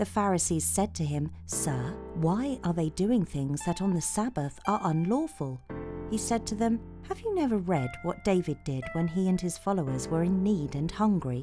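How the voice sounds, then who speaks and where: A woman's calm, soothing voice in a British accent, very even in loudness, at a moderate pace over music in the background. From England. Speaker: voice actor. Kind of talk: bedtime Bible story reading.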